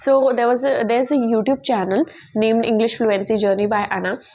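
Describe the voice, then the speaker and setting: A woman speaks at a fairly quick pace in a high pitch with ordinary pitch variation. Noticeable background noise can be heard. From India. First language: Hindi. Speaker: English teaching YouTuber. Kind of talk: tutorial. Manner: halting, with many fillers and restarts.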